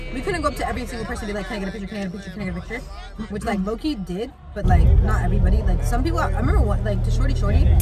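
Loud music plays behind a woman talking at a very fast pace, and the sound is dry with no echo. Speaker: vlogger. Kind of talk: casual storytelling chat. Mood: lively, amused. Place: car. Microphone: phone near.

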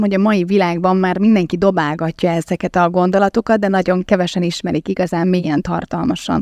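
A woman's medium-pitched voice, very fast, with ordinary pitch variation and a dry, close sound with no echo. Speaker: podcast host. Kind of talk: live podcast interview. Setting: live recording with audience.

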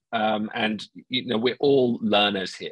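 A man speaks with a bright, sharp tone and fairly even intonation. The sound is dry with no echo, over a quiet background. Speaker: webinar moderator. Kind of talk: event introduction. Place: home room. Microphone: earbuds.

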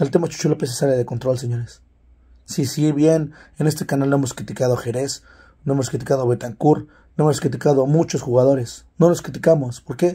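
On a very clean recording with a silent background, a somewhat breathy voice with a dark, mellow tone moves at a fairly quick pace. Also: man, fairly high pitch for a man. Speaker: football commentary youtuber. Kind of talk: opinion monologue. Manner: animated.

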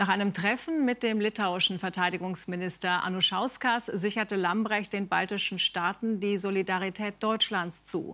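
A woman's medium-pitched voice with a bright, sharp tone, at a moderate pace with hardly any pauses. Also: ordinary pitch variation. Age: 50s. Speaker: television news anchor. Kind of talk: TV news anchor reading. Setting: television studio. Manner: formal, measured. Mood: calm, formal, composed. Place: studio.

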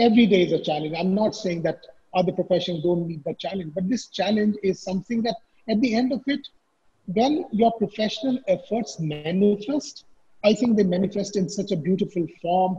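A man speaks at a fairly quick pace in a high voice. His tone is dark and mellow, with ordinary pitch variation. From India, Bikaner, Rajasthan; Rajasthan, India. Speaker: architect; panelist. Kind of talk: webinar panel discussion. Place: home room. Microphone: video call.

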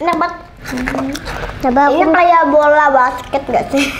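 A woman speaks at a high pitch and a moderate pace, her intonation fairly even. Music plays in the background. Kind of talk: casual talk to camera. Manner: casual, chatty, reacting to spicy food.

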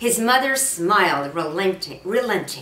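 Recorded with audible room echo, a woman talks in a fairly bright tone.

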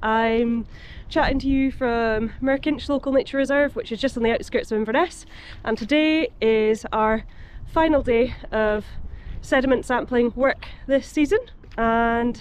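A high-pitched woman's voice with ordinary pitch variation in dry sound with no echo. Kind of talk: casual vlog chat. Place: waterside. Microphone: phone near.

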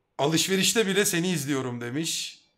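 Against a quiet background, a man talks at a moderate pace in an animated tone. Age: 30s. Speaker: streamer. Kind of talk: casual chat. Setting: live stream. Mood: cheerful, teasing. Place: home room. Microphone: headset.

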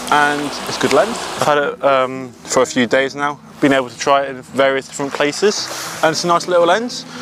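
Over noticeable background noise, a man speaks at a fairly quick pace with ordinary pitch variation in a dry sound with no echo. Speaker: photographer vlogger. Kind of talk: casual vlog chat. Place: beach.

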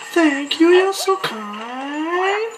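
A squeaky, put-on character voice at an extremely high pitch, over clear background noise. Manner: sweet, grateful.

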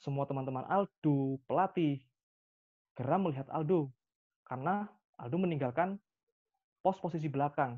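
The pace is moderate, with ordinary pitch variation. Long pauses come often. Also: man, fairly high pitch for a man.

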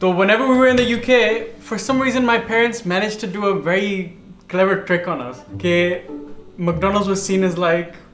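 The speech moves at a moderate pace with ordinary pitch variation. There is audible room echo and light background noise. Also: man, high pitch for a man. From lived in England for over 20 years, now in Pakistan. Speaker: vlog co-host. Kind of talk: casual chat, storytelling to co-host and viewers. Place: kitchen.

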